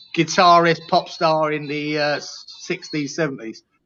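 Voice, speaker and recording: A man with a London accent, at a moderate pace. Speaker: football fan panelist. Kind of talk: casual chat.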